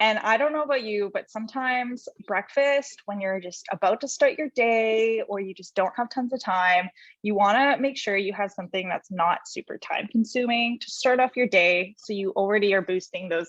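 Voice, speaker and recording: Over a quiet background with dry, close sound and no echo, a woman speaks in a normal speaking voice, fairly high in pitch, at a moderate pace with ordinary pitch variation. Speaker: holistic nutritionist. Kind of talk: presentation.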